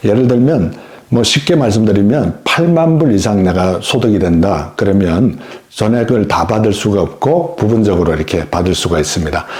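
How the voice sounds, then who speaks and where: A man's fairly low voice at a moderate pace, with very wide pitch swings, very even loudness, audible room echo and noticeable background noise. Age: 60s. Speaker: YouTuber explaining senior benefits. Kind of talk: informational talk to camera. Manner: friendly, conversational.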